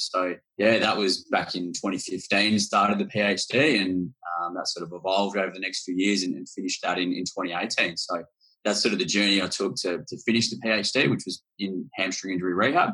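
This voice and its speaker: The voice has a bright, sharp tone and moves at a moderate pace with an Australian accent. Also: man. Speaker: hamstring researcher. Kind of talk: casual interview. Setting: video call.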